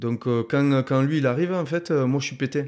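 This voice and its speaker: The recording is very clean, with a silent background. Words come at a moderate pace with ordinary pitch variation. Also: man. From Tarbes, Hautes-Pyrénées (Bigorre), southwest France. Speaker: former professional rugby player. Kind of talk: casual interview. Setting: in person, in Tarbes. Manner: halting, many fillers and repetitions.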